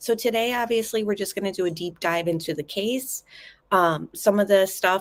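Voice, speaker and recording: At a moderate pace, a woman speaks softly. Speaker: true crime YouTuber. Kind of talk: live stream commentary. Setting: home kitchen and living room. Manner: soft-spoken.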